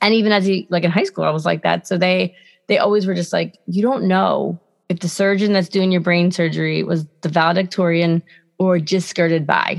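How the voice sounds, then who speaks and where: A plain, everyday voice from a woman, fairly low in pitch, at a fairly quick pace, with fairly even intonation and very even loudness. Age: 30s. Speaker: podcast co-host. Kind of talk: casual chat.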